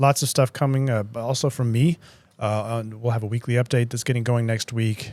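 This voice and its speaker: A man with an American accent speaks at a medium pitch and a fairly quick pace. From United States. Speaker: market strategist. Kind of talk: podcast discussion. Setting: studio. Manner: hesitant, many fillers.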